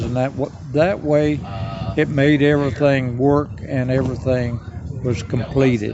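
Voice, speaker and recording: A man's fairly high voice with an American accent at a moderate pace and fairly even intonation, with audible room echo and noticeable background noise. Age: 80s+. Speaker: pioneer settlement founder. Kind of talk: interview. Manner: halting.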